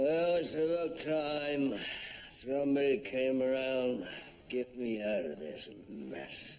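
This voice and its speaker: Over light background noise, a man in a put-on character voice talks at a fairly slow pace with a medium pitch and ordinary pitch variation. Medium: short film. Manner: gruff, halting.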